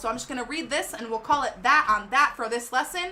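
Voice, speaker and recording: A woman speaks in a raised, projected voice at a fairly quick pace. Her tone is animated, bright and sharp. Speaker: DJ and livestream host. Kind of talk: livestream tutorial. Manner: loud.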